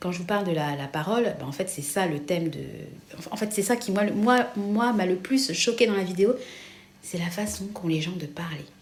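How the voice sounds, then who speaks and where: At a moderate pace, a woman talks with medium pitch and lively intonation over noticeable background noise, with audible room echo. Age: 40s. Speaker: vlogger. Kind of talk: casual chat. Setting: kitchen. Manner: rising pitch, many fillers.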